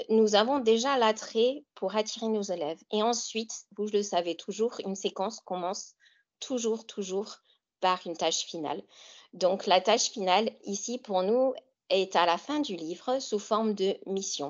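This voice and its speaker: This woman, in an American accent, talks fairly slowly at a medium pitch with ordinary pitch variation. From US Great Lakes region. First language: English (speaking French). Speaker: author and English teacher. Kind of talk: webinar presentation. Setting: online webinar. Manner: hesitant with fillers.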